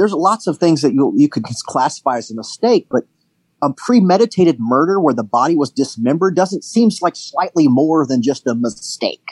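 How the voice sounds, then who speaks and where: Fairly quick speech from a man with very wide pitch swings, a dry, close sound with no echo and a quiet background. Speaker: podcast co-host. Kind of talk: casual chat.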